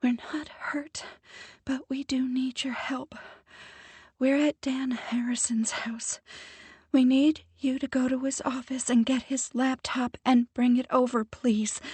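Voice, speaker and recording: This put-on character voice is female-sounding and breathy, high in pitch for a woman, with a monotone, flat intonation at a fairly slow pace. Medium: read story. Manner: frantic, breathless.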